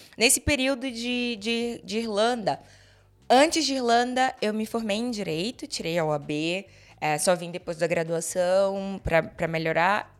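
In an unremarkable speaking voice, a woman talks fairly slowly at a medium pitch with lively intonation on a very clean recording with a silent background. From Brazil, Salvador, Bahia. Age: 30s. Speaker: podcast guest. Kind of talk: casual chat. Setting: in-person recording.

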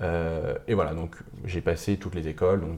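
Somewhat breathy, with a very deep, low pitch and a dark, mellow tone, a man talks at a moderate pace with fairly even intonation. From Paris region, France (Montmorency). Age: 20s. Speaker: student entrepreneur, founder of a media startup. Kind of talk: casual interview. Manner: hesitant, many fillers.

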